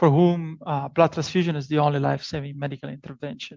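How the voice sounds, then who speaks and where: A man with an Italian accent and a fairly high pitch, at a fairly quick pace with fairly even intonation, over a quiet background. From Italy. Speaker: professor. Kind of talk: lecture. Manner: hesitant, many fillers and repetitions.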